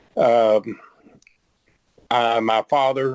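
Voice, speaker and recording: A man speaks in a Texan accent at a medium pitch. His intonation is monotone and flat, and the sound is dry and close with no echo. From Texas, Dallas (Oak Cliff). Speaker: guest, descendant of a historical figure. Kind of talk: interview conversation.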